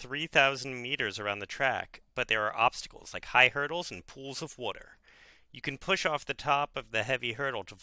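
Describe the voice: The text is read aloud plainly, with ordinary pitch variation.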